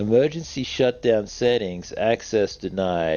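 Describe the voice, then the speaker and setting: A man puts on a robotic character voice at a medium pitch. He goes at a fairly slow pace with light background noise. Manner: intoning, flat and monotone.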